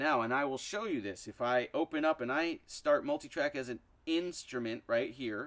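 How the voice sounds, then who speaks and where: Moderate pace, ordinary pitch variation, and an ordinary speaking voice. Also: man. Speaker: music app tutorial youtuber. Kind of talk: tutorial. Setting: outdoors. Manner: casual, conversational.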